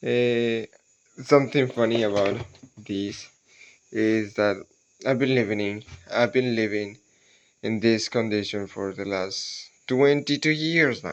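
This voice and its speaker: Speaking with a non-native accent, a man at medium pitch talks at a fairly slow pace with ordinary pitch variation and long, frequent pauses. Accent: non-native English speaker. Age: 20s. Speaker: cocoa farmer and vlogger. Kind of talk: casual vlog monologue. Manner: halting, with many repetitions and fillers.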